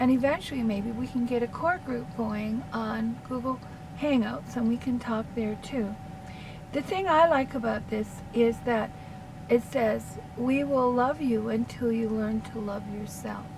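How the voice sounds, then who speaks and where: Noticeable background noise behind fairly slow speech. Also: woman. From Canada. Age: 60s. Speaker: counselor. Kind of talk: casual monologue. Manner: rambling, hesitant with fillers.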